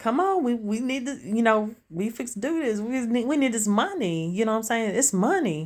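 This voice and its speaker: A woman in a Southern US accent speaks at a fairly high pitch and moderate pace, with hardly any pauses. Her tone is animated and her intonation lively. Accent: country accent, Southern US. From Tennessee, US South. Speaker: street vendor, craft seller vlogger. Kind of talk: casual vlog. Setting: outdoors at street stall.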